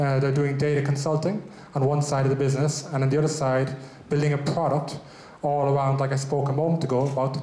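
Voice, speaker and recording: A man with an Irish accent speaks at a fairly quick pace in a fairly high pitch and a monotone, flat delivery, with audible room echo and noticeable background noise. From Ireland. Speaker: business owner, event host. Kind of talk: event presentation.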